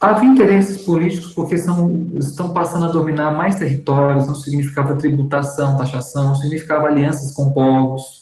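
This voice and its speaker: Speaking at a moderate pace, the man has a fairly high pitch and an unremarkable speaking voice. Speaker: seminary teacher. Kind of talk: lecture.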